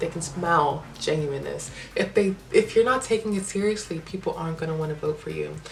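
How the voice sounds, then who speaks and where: An animated voice at a moderate pace, with ordinary pitch variation and noticeable background noise. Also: woman. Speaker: vlogger. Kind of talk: casual advice monologue.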